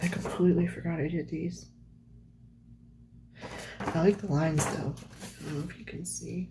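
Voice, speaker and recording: A woman talks at a moderate pace, with long, frequent pauses. Her loudness swings a lot, and background noise is noticeable. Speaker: artist. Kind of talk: casual talk to camera while flipping through sketchbooks. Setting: lo-fi home recording with page-turning sounds. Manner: soft-spoken.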